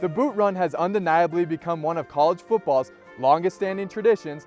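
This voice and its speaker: Fairly quick speech with ordinary pitch variation, music playing in the background. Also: man. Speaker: college sports anchor and reporter. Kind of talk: sports feature voiceover with stand-up.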